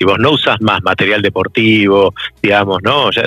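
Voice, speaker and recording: A man with an Argentine accent speaks in a fairly low pitch. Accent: Argentine Spanish (Rioplatense). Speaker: corporate sustainability manager. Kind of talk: interview.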